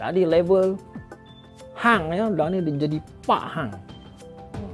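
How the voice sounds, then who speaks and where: Music plays in the background as the voice moves very slowly with very wide pitch swings. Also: man, high pitch for a man. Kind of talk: casual talk to camera.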